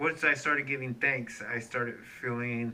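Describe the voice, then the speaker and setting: Noticeable background noise under a man's voice, medium in pitch, fairly even in its intonation, delivered at a moderate tempo. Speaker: cancer survivor vlogger. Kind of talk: personal video update. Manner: hesitant fillers.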